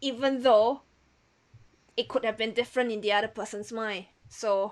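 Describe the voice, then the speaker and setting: Her pitch fairly high and her intonation monotone and flat, a woman with a non-native accent speaks at a moderate pace. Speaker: podcast host. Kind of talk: interview conversation.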